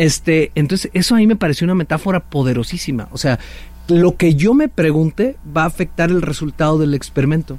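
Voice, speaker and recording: A man's unremarkable speaking voice, fairly high in pitch, with ordinary pitch variation, very even loudness and a fairly quick pace. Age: 40s. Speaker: author and leadership speaker. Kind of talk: casual interview.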